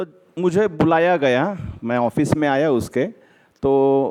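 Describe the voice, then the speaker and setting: Dry, close sound with no echo from a man with a Marathi accent, a fairly high pitch, a dark, mellow tone and ordinary pitch variation. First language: Marathi (speaking Hindi). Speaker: lawyer. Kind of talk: speech at an event.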